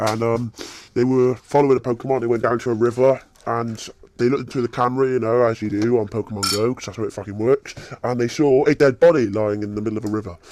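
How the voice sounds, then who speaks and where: A man with a British accent, medium-pitched, talking very fast in a fairly even tone. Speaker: gaming YouTuber. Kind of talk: casual gameplay commentary. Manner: casual, halting with fillers.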